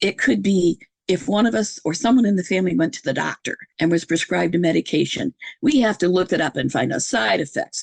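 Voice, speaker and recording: A woman's voice with vocal fry and very wide pitch swings, in a dry, close sound with no echo. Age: 70s. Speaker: podcast host appearing as guest. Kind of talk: casual interview conversation.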